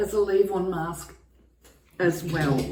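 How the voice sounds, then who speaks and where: Her pace is fairly slow, and her pitch varies in an ordinary way. The woman's voice carries audible room echo. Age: 60s. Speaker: beauty vlogger. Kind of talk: tutorial. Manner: casual, hesitant with fillers.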